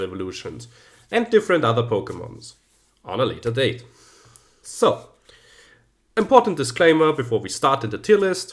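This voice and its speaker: A man speaks in a German accent at a moderate pace, his pitch swinging very widely. The recording is very clean with a silent background. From German-speaking Central Europe. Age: 30s. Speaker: YouTuber, teacher. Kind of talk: casual video commentary.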